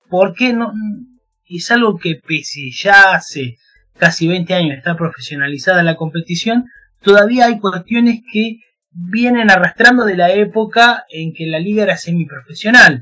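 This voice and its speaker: With an Argentine accent, a man uses a raised, projected voice at a high pitch, speaking fairly slowly with ordinary pitch variation. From Argentina. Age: 30s. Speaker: football writer. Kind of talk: interview.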